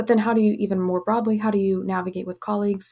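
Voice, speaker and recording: Over a silent background on a very clean recording, a woman with an American accent speaks at a medium pitch in a monotone, flat intonation. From Kenya and West Africa, American missionary family. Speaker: family physician. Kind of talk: interview. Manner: halting, many fillers.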